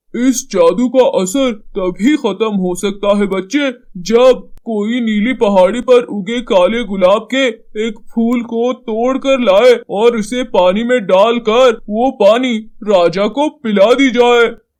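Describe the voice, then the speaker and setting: In a cartoonish character voice, a man speaks at an extremely high pitch. His delivery is fairly slow with fairly even intonation. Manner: gentle, advising.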